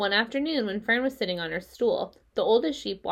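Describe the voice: The reading aloud is plain, yet the intonation is lively.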